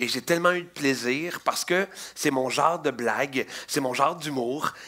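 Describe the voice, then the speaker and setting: A man in a Quebec accent talks at a moderate pace with fairly high pitch and ordinary pitch variation. His tone is bright, sharp and animated. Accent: Québécois French. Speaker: children's magician. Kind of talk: interview.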